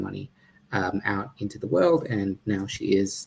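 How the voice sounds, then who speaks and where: A man's fairly low, somewhat breathy voice with an Australian accent. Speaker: startup founder and CEO. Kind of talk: startup pitch presentation. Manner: halting, many fillers.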